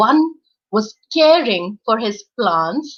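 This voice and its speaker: Her tone warm and her pitch fairly high, a woman speaks with very wide pitch swings. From India, Uttarakhand. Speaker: storyteller, voice over artist. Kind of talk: children's storytelling. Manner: warm, expressive, engaging.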